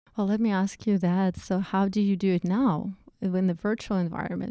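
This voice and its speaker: In a Russian accent, a woman talks at a fairly slow pace with medium pitch, a dark, mellow tone and monotone, flat intonation. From Russia, Saint Petersburg. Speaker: project manager. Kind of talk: casual interview. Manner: hesitant, many fillers.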